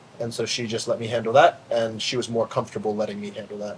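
Light background noise sits under the recording. A man is speaking. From US Mid-Atlantic. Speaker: CrossFit athlete. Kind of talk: casual chat. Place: garden.

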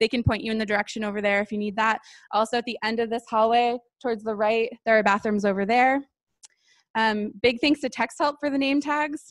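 With an ordinary speaking voice, a woman talks at a fairly quick pace in a fairly high pitch with fairly even intonation, the sound dry and close with no echo. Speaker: event co-organizer. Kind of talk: opening announcements. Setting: stage with audience.

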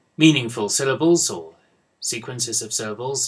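A man with a British accent speaks with lively intonation and a somewhat breathy voice over a quiet background. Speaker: university English professor. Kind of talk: lecture. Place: office. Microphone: webcam.

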